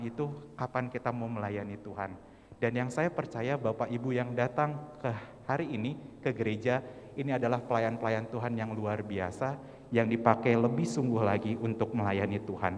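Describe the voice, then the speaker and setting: A man's fairly quick, fairly even speech at a medium pitch, an ordinary speaking voice. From West Java (Sundanese region), Indonesia. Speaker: church youth worship singer and speaker. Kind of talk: church training talk to congregation.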